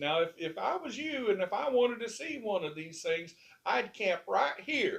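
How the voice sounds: At a moderate pace, a man does a squeaky, put-on character voice pitched high.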